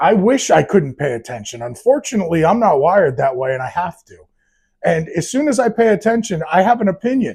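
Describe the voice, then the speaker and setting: A man with an American accent speaks at a fairly quick pace in a high pitch, his tone animated. His pitch swings very widely and his loudness rises and falls sharply. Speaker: podcast host. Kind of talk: casual opinion monologue.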